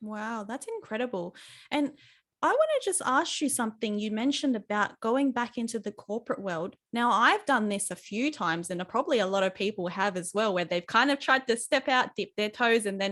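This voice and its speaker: At a fairly quick pace, a woman with a plain, everyday voice speaks at a fairly high pitch with ordinary pitch variation. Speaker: podcast host. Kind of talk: interview host.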